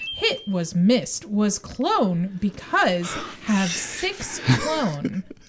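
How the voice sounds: The clip features a natural reading voice.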